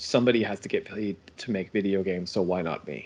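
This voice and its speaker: In an American accent, a man talks at a fairly quick pace with a fairly low pitch and ordinary pitch variation. His is an unremarkable speaking voice, set against a quiet background. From United States. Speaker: game studio co-founder. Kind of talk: interview.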